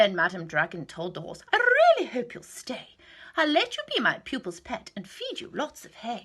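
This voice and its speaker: A female-sounding put-on character voice is pitched high for a woman. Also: moderate pace. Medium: read story. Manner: commanding, teacherly.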